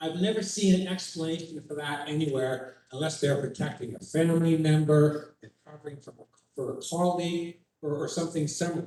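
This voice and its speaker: With an unremarkable speaking voice, a man talks at a fairly quick pace, his pitch fairly high and his intonation fairly even. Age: 60s. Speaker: member of the public. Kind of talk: public meeting question.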